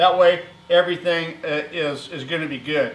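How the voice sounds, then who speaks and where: Noticeable background noise surrounds a man whose voice sits high. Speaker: welding and fabrication YouTuber. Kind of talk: workshop tutorial. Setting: metal workshop. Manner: casual, many filler words; loud, yelling across the shop. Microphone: camera far away.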